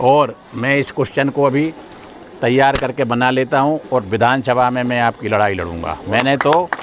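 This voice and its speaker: A man's medium-pitched voice with ordinary pitch variation over noticeable background noise. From India, Madhya Pradesh (Ashoknagar). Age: 60s. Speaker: politician, legislator. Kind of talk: speech to residents at a local gathering. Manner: animated.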